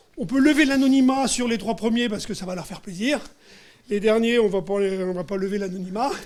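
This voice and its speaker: A man talks at a moderate pace. His pitch shows ordinary variation. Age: 60s. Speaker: business trainer and author. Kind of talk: panel interview. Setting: live event with audience and lapel mics. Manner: hesitant, many filler sounds.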